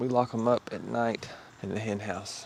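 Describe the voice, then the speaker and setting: Noticeable background noise surrounds a man speaking at a medium pitch. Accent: American. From Arkansas. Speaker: personal trainer. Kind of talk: casual vlog talk to camera.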